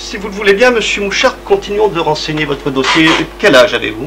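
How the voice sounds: Over faint background noise, a man does a put-on character voice with a bright, sharp tone, fairly high pitch, big pitch swings and a fairly quick pace.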